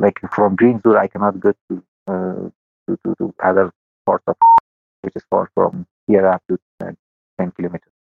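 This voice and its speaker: A man speaks with an Afghan accent at a fairly low pitch, leaving long, frequent pauses. Music plays in the background. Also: ordinary pitch variation, moderate pace. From Afghanistan. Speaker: interviewee from Afghanistan. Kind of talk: interview. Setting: phone or internet call. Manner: halting, many hesitations.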